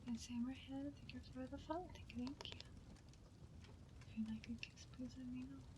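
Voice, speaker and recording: Someone soft-spoken is whispering at a moderate pace with long, frequent pauses, over noticeable background noise. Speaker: ASMR streamer. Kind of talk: ASMR live stream talk. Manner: soft-spoken, whispered.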